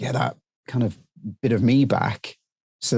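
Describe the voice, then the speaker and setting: Over a quiet background, a man with a British accent talks at a moderate pace. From UK. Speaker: drone training business owner. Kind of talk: interview. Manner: halting, many fillers.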